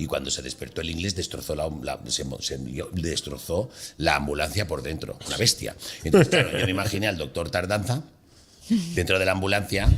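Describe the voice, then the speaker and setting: This man speaks at a fairly quick pace. His pitch is very deep and low. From Mallorca, Palma. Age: 60s. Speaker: comedian. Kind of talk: casual chat. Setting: studio.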